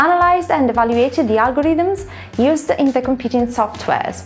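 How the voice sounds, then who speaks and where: A woman talks at a fairly quick pace in a high pitch. Faint music plays in the background. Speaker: presenter. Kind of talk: corporate presentation.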